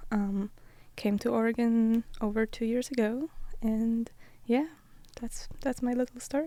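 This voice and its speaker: In a Polish accent, a woman speaks fairly slowly with long, frequent pauses, a fairly high pitch, fairly even intonation and a dark, mellow tone. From Poland. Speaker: college athlete, Olympic runner. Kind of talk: podcast interview. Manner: hesitant, many fillers.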